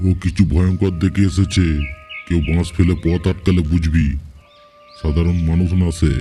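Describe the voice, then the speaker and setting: A man's cartoonish character voice, very deep and low in pitch, at a moderate pace over faint background music. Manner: stern, authoritative.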